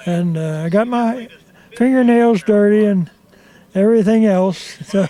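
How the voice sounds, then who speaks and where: Speaking at a fairly slow pace with long, frequent pauses, a man uses a high pitch with ordinary pitch variation over noticeable background noise. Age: 80s+. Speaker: car owner. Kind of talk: interview.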